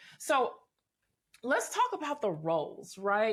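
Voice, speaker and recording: In an American accent, a woman speaks with an animated tone. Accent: Southern accent, mostly hidden. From US South, Memphis, Tennessee. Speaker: podcast host. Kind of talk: casual interview chat.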